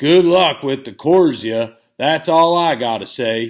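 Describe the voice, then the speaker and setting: A man's put-on character voice, fairly high in pitch and fairly slow, in a very clean recording with a silent background. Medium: read story. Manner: blunt, countrified.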